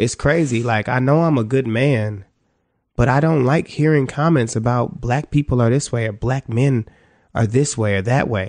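An ordinary speaking voice from a man with an American accent, medium in pitch with ordinary pitch variation, at a moderate pace, with very even loudness and a quiet background. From Cleveland, Ohio. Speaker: musician. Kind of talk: casual chat.

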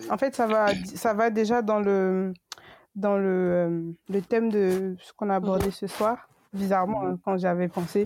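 At a very slow pace, a woman with a medium pitch and fairly even intonation shows big swings in loudness. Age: 20s. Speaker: podcast co-host. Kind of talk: casual chat.

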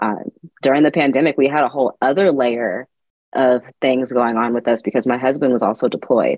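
This is a woman with an American accent. Her voice is very deep and low. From California, Sacramento. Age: 30s. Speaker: gardening educator and blogger. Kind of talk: interview.

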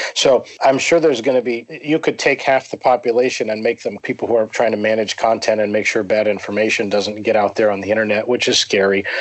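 Speaking at a very fast pace with hardly any pauses, a man with an American accent holds a medium pitch. His intonation is fairly even, with noticeable background noise behind him. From US, Pennsylvania. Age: 40s. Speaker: writer on economics and finance. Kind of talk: interview conversation.

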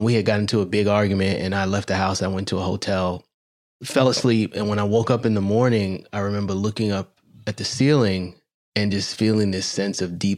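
An ordinary speaking voice from a man, fairly low in pitch, at a fairly quick pace with fairly even intonation, on a very clean recording with a silent background. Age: 40s. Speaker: podcast host, doctor. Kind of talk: interview.

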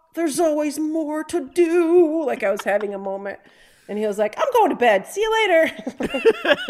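Speaking over noticeable background noise, a woman with a high pitch and very wide pitch swings keeps a moderate pace. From Detroit area (Downriver), Michigan. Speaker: comedian, performer. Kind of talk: casual chat.

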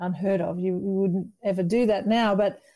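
Woman with an Australian accent, medium pitch, a dark, mellow tone and ordinary pitch variation. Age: 50s. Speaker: entrepreneur. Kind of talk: interview.

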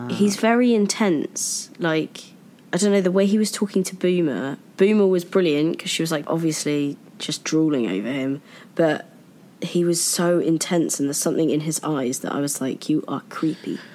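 A woman talks at a moderate pace in an unremarkable speaking voice, fairly low in pitch with ordinary pitch variation. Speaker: podcast co-host. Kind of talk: casual chat.

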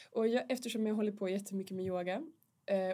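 A woman's dark, mellow tone at a medium pitch. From northern Sweden. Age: 40s. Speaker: mature student. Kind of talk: casual chat.

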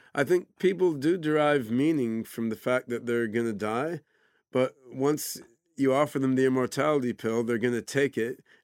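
In an unremarkable speaking voice with an American accent, a man talks at a moderate pace in a dry, close, echo-free, very clean recording with a silent background. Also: medium pitch for a man, ordinary pitch variation. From US, Oregon. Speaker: AI scientist and entrepreneur. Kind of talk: interview. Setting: studio.

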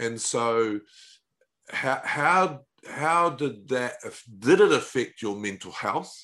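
Over a quiet background, a man with a fairly high pitch and a bright, sharp tone speaks at a very slow pace with lively intonation. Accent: New Zealand. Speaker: podcast host. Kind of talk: interview, conversational. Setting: remote call across time zones.

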